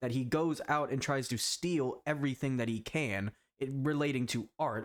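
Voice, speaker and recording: The recording is very clean, with a silent background. A man speaks at a fairly high pitch and a moderate pace. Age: young. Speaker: video essayist / youtuber. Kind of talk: video essay commentary. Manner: animated; stumbling over words.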